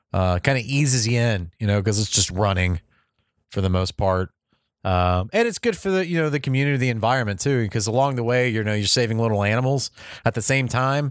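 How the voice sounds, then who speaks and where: In a normal speaking voice, a man talks at a fairly quick pace and medium pitch, with lively intonation, very even loudness, and a dry, close sound with no echo on a very clean recording with a silent background. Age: 30s. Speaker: video game advice podcast host. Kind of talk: casual solo monologue.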